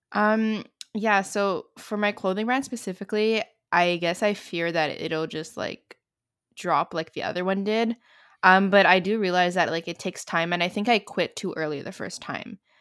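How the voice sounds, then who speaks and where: A woman with an unremarkable speaking voice, ordinary pitch variation and a moderate pace, on a very clean recording with a silent background. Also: medium pitch for a woman. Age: 20s. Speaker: student entrepreneur and content creator. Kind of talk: casual interview chat.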